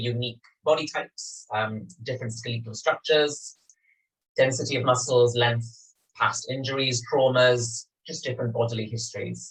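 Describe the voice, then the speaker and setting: With a Welsh accent, a man talks at a medium pitch and a moderate pace. His intonation stays fairly even. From Wales, Swansea. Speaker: yoga teacher. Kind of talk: guided yoga class. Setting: home studio, filmed over video call.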